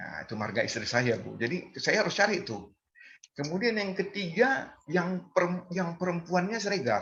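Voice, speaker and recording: His voice high, a man speaks at a moderate pace with very wide pitch swings. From North Sumatra, Medan (Batak). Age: 60s. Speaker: community member sharing Batak culture. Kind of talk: online community gathering talk. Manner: halting, many fillers.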